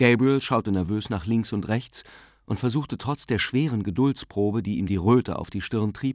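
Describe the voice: The voice reads text aloud plainly. Its pitch moves up and down in an ordinary way.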